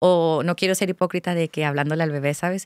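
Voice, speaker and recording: A woman speaks with a very deep, low pitch and ordinary pitch variation. The sound is dry with no echo, and the background is quiet. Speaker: content creator. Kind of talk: casual chat. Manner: animated. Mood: candid, reflective. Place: studio. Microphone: studio mic.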